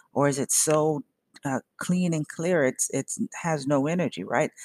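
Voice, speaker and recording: A woman's very deep, low-pitched voice with an animated tone, lively intonation and vocal fry, in a dry, close sound with no echo. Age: 50s. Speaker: tarot reader and podcast host. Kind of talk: casual monologue.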